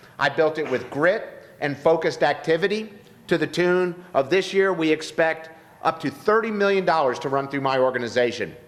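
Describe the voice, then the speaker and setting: Over noticeable background noise, a man talks at a moderate pace in a fairly high pitch with ordinary pitch variation. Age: 50s. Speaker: political candidate. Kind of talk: campaign speech. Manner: formal.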